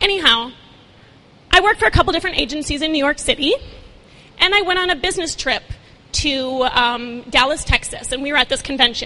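A woman's very fast, high-pitched, raised and projected voice, broken by long, frequent pauses. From Minnesota. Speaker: talent agency founder. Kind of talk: inspirational talk. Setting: stage with audience.

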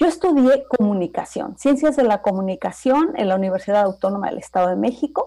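Speaking at a fairly quick pace with hardly any pauses, a woman uses a fairly high pitch and very wide pitch swings. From Mexico, Toluca. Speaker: intercultural trainer. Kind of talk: radio interview.

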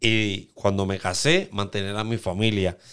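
A man talks very slowly, and the recording is very clean with a silent background. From Puerto Rico, Aguadilla. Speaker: graffiti artist. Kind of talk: casual interview.

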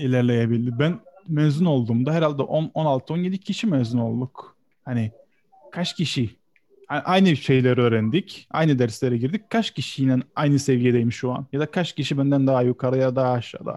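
A man speaks at a medium pitch and moderate pace, his tone dark and mellow with ordinary pitch variation. The sound is dry and close, with no echo. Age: 20s. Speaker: graphic designer. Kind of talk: casual chat.

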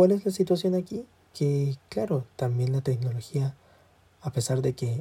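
A man talks at a moderate pace with a fairly high pitch and ordinary pitch variation. His tone is dark and mellow, and somewhat breathy. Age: 20s. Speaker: student podcaster. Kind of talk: casual solo monologue. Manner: halting.

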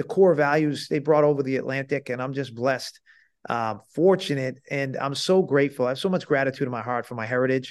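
Against a quiet background, a man with an American accent and an unremarkable speaking voice talks at a moderate pace, his pitch fairly high with ordinary variation. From Massachusetts (Salem). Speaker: sports agent. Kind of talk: interview.

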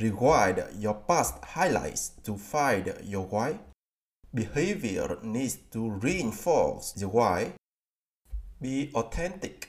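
At a very slow pace, a man at medium pitch talks with lively intonation. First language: Vietnamese. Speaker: podcast host. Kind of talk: book summary narration.

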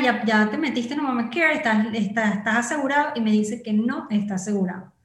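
Audible room echo surrounds a woman speaking in a fairly high pitch with ordinary pitch variation. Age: 30s. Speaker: digital marketing entrepreneur. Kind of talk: interview conversation.

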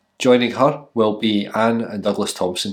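With a Scottish accent, a man speaks at a moderate pace in a fairly low pitch and fairly even intonation. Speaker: minister. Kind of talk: church service welcome. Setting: church.

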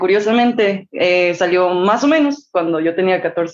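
A woman with a Mexican accent. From Mexico. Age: 20s. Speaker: singer-songwriter. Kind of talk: interview.

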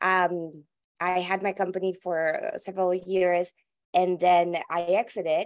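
The voice carries a Spanish accent and moves at a fairly slow pace. Its intonation stays monotone and flat. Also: woman, medium pitch for a woman. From Colombia, Bogota. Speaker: venture capitalist. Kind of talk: interview. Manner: halting, many repetitions.

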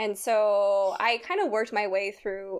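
A woman talks at a medium pitch in an American accent. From California, Sacramento area. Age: 20s. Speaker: instrument repair technician. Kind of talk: casual chat. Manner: animated.

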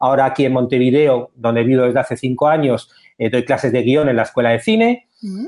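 Here is a man with a plain, everyday voice. His pitch is medium, with ordinary pitch variation. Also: fairly quick pace. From Spain. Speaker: screenwriter and teacher. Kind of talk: interview.

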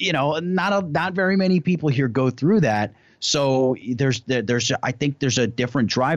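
A man speaks at a moderate speed, and the background is quiet. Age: 20s. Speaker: YouTuber. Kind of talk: casual chat.

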